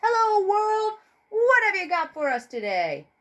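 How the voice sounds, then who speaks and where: A loud, squeaky put-on character voice at an extremely high pitch, cheerful in tone and moderate in pace. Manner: loud, cheerful.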